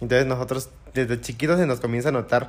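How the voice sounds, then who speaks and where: This man has a medium pitch, ordinary pitch variation and an ordinary speaking voice. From Mexico, Oaxaca (Juchitán, Isthmus). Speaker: muxe interviewee, traditional dancer. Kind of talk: interview. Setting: in-person studio with small audience.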